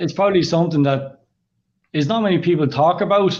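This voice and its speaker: With an Irish accent, a man speaks fairly quickly with ordinary pitch variation. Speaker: kidney patient, clothing brand founder. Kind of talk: interview.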